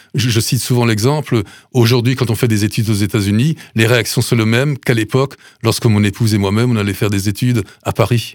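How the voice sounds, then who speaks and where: Very fast but with fairly even intonation and very even loudness, a man talks at a medium pitch in a very clean recording with a silent background. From Alsace, Sélestat. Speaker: food bank president, retired mayor. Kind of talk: radio interview. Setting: studio.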